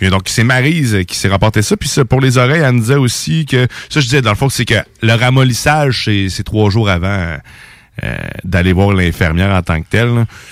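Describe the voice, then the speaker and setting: A man with a Quebec accent, medium pitch, lively intonation and moderate pace. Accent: Québécois French. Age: 30s. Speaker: radio host. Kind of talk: casual chat. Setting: studio.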